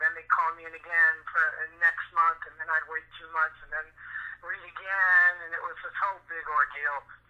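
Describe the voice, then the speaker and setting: Big swings in loudness mark this moderately paced, fairly evenly intoned speech with an American accent, heard over noticeable background noise. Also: man, high pitch for a man. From Michigan. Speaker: voice actor. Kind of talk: interview answer. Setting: phone line. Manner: casual, conversational.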